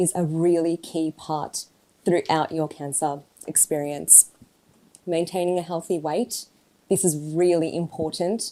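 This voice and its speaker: Speaking at a moderate pace with an Australian accent, this voice has a dark, mellow tone and fairly even intonation. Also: woman. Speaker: oncology dietitian. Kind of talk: talk to an audience. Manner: careful enunciation.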